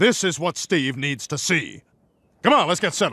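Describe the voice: On a very clean recording with a silent background, a man performs. He uses a cartoonish character voice.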